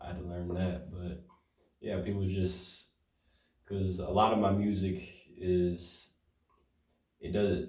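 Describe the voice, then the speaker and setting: A man's very deep, low voice with an American accent, somewhat breathy and monotone, at a very slow pace with long, frequent pauses and audible room echo. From Detroit, US. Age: young. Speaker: rapper. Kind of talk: interview. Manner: halting.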